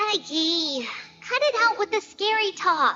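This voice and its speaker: In a put-on character voice, a woman speaks with a gentle tone at a fairly slow pace, squeaky and extremely high, her pitch swinging very widely. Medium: video game. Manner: gentle, earnest, uses "we".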